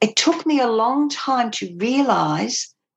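This woman talks very slowly. There's an ordinary amount of variation in her pitch. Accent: Australian. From England, moved to Australia as a child. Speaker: former cult member. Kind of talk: interview testimony.

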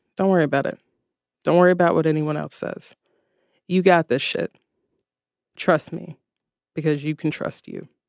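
Pausing long and often, a woman with a fairly low pitch speaks at a moderate pace in a passionate tone, the sound dry and close with no echo. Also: lively intonation. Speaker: yoga teacher and author. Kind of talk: pep talk. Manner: emphatic, motivational, passionate; casual, conversational, profane.

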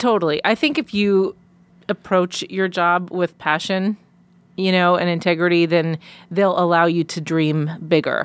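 With a plain, everyday voice and an American accent, a woman speaks at a fairly slow pace in a fairly low pitch and fairly even intonation, the sound dry and close with no echo on a very clean recording with a silent background. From Long Island, New York. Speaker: sideline reporter. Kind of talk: casual chat. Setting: studio.

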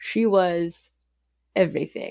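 A woman with an American accent at a very slow pace, on a very clean recording with a silent background. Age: 30s. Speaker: murder victim's daughter. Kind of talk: interview testimony. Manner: casual with fillers.

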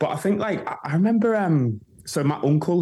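A man with a dark, mellow tone and a somewhat breathy quality talks at a moderate pace. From northern England. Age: 30s. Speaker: DJ and producer. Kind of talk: casual chat.

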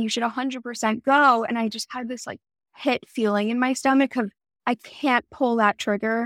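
A woman with a Canadian accent speaks in a normal speaking voice at a fairly quick pace and fairly high pitch, with fairly even intonation, on a very clean recording with a silent background and a dry, close sound with no echo. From Toronto, Canada. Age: 20s. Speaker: skincare brand founder. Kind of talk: interview.

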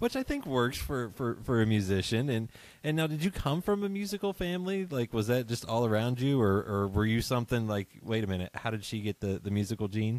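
A man with an American accent and a plain, everyday voice, medium in pitch, with lively intonation at a fairly quick pace and hardly any pauses, in a very clean recording with a silent background and a dry, close sound with no echo. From West Virginia. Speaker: podcast host. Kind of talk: casual interview chat. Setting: home studio at dining table.

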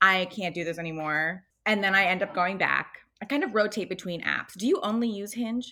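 Her voice has a bright, sharp tone at a medium pitch for a woman. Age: 20s. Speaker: podcast guest. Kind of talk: casual chat.

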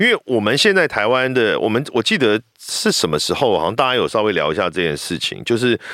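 With a Taiwanese accent, a man speaks in a medium pitch with a bright, sharp tone, vocal fry, very wide pitch swings, and hardly any pauses. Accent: Taiwanese Mandarin. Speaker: voice actor. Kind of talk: casual chat.

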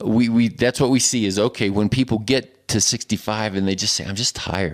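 Using a normal speaking voice, a man holds a medium pitch that shifts in an ordinary way. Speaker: medical doctor. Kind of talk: casual chat.

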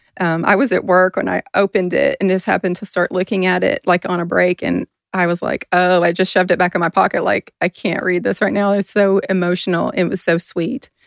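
A woman's plain, everyday voice, medium in pitch with fairly even intonation and hardly any pauses, in a dry, close sound with no echo. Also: fairly quick pace. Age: 40s. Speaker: podcast host and nurse. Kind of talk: casual chat.

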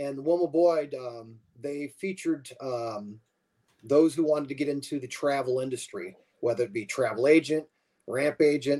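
A man at a moderate pace with a dark, mellow tone, long, frequent pauses, big swings in loudness and ordinary pitch variation. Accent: American. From western New York / Pennsylvania border. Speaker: fan club chapter president. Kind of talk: casual chat.

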